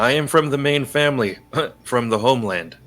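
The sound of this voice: A man puts on a character voice at a medium pitch. His pace is fairly quick.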